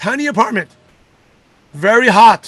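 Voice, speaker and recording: In a raised, projected voice, a man speaks with lively intonation at an extremely high pitch. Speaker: network marketing leader and coach. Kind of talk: motivational talk. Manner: fast.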